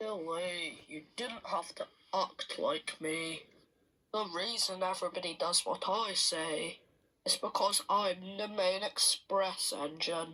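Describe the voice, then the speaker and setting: In a put-on character voice at a middle pitch, the speaker goes at a fairly slow pace. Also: female-sounding voice. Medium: read story. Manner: pompous, self-important.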